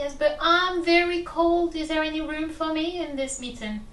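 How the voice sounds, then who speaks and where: A woman's squeaky, put-on character voice at an extremely high pitch, with a moderate pace and clear background noise. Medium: solo performance. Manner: gentle, welcoming.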